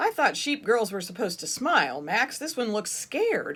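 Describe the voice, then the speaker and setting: Putting on a character voice, a woman speaks at a moderate pace. Her pitch is fairly high, with very wide swings. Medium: read story.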